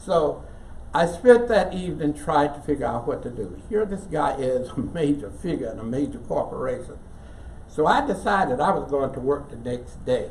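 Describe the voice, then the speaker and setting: A man with an American accent at a moderate pace, with big swings in loudness, audible room echo, and noticeable background noise. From West Virginia. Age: 80s+. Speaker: church member storyteller. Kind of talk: personal storytelling to an audience.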